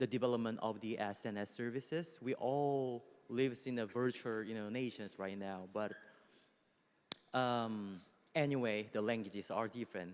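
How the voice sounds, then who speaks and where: At a moderate pace, a man speaks with a Korean accent. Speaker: music company executive. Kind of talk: panel discussion. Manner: halting, with many fillers.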